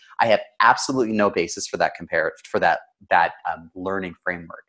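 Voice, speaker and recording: Against a quiet background, a man with a Canadian accent talks at a fairly quick pace. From Canada. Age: 30s. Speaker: storytelling consultant. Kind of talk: interview.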